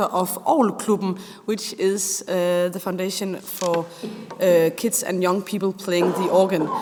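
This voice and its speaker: A woman with a Danish accent speaks at a medium pitch. Her pace is fairly slow. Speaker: youth organ organizer. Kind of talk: panel discussion.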